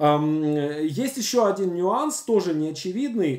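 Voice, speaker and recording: A man's voice with very wide pitch swings, audible room echo and a quiet background. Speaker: screenwriting teacher. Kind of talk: lecture. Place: home room. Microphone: webcam.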